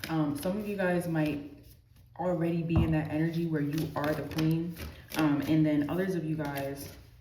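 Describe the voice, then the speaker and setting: A woman with a very deep, low voice talks at a moderate pace and fairly even intonation. Audible room echo and noticeable background noise surround her. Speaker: tarot reader. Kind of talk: tarot reading. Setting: amenities building. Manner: soft-spoken; casual, filler-heavy.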